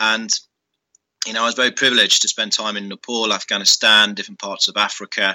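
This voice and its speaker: A man's fairly low, bright, sharp voice with a British accent at a fairly quick pace, dry and close with no echo. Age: 30s. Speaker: former army officer and business school director. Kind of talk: interview.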